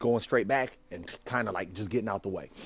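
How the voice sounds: With a slightly husky edge, a man talks at a fairly quick pace and fairly low pitch.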